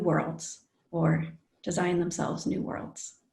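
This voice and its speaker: A somewhat breathy woman's voice with an American accent. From United States. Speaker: design educator, panel moderator. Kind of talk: panel discussion introduction.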